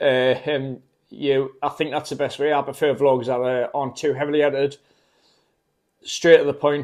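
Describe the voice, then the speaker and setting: A man talks in a Geordie accent at a fairly high pitch. His intonation is monotone and flat, with long, frequent pauses. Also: moderate pace. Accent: Geordie (Newcastle). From northern England, Newcastle. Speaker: travel vlogger. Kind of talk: casual vlog talk to camera. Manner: hesitant, many fillers.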